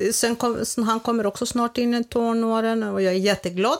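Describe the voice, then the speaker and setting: A woman speaks at a moderate pace with a Greek accent. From Greece, village. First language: Greek (speaking Swedish). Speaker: grandmother. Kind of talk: casual chat.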